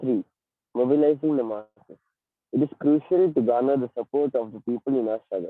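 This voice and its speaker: Quiet speech from a man at a medium pitch, fairly quick in pace, with ordinary pitch variation. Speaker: elocution contestant. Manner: too quiet.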